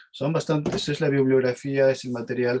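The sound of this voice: The tone is slightly mellow, and the intonation stays fairly even. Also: man.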